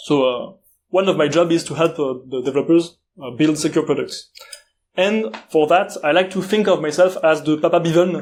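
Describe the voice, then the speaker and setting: Here a man with a French accent speaks at a moderate pace. His voice is high in pitch, with ordinary pitch variation. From France. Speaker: security conference speaker. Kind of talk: conference talk. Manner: halting, many filler uhs.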